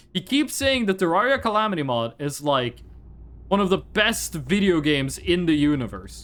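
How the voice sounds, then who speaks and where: A man's fairly high voice with a Norwegian accent, swinging very widely in pitch at a moderate pace. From Northern Norway. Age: 20s. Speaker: video game streamer. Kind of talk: casual chat. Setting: live stream.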